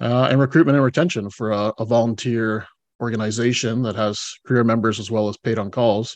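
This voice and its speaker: With a Canadian accent, a man speaks at a fairly quick pace in an ordinary speaking voice, using medium pitch and fairly even intonation against a quiet background. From British Columbia, Canada. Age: 40s. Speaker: retired fire chief and executive coach. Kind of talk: interview conversation. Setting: remote from home.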